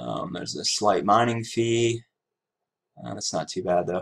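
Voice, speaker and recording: A man speaks with fairly low pitch. His pitch variation is ordinary. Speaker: crypto trading youtuber. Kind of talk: casual screen-recorded tutorial. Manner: low energy; hesitant, many fillers. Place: home room.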